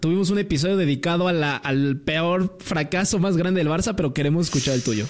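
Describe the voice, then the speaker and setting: Hardly pausing, a man talks at a fairly quick pace in a high pitch. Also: very even loudness. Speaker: podcast host. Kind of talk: casual chat.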